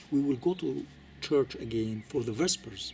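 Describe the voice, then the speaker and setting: Lively intonation marks this fairly slow delivery in a non-native accent. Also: man. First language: not English. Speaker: Coptic Orthodox commentator. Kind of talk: lecture. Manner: halting, many fillers and repetitions.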